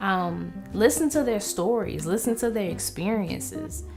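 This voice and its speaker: Music plays in the background as a woman with a medium pitch speaks at a fairly slow pace. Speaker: vlogger. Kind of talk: casual talk to camera.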